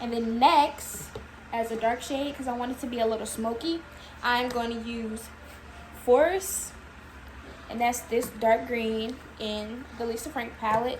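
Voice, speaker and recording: With audible room echo and noticeable background noise, a woman of fairly high pitch talks in fairly even intonation with long, frequent pauses. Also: fairly slow pace. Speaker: makeup artist. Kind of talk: tutorial.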